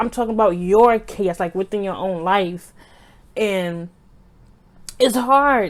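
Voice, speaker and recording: In an American accent, a woman speaks at a fairly slow pace with ordinary pitch variation. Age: 20s. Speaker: lifestyle vlogger. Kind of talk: casual vlog monologue. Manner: animated.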